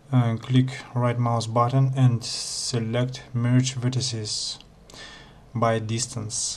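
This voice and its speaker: Over noticeable background noise, the speech comes very slowly in a monotone, flat intonation. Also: man, medium pitch for a man. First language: not English. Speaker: Blender tutorial maker. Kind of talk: software tutorial narration.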